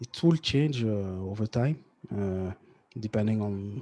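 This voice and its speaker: A man with a French accent speaks at a fairly low pitch, his tone dark and mellow. The sound is dry and close, with no echo. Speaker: tech entrepreneur and podcaster. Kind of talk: interview. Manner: halting, many fillers and restarts.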